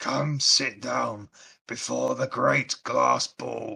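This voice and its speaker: Very slowly, a man delivers a raspy, put-on character voice. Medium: actual play. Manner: slow, ponderous, earnestly obvious.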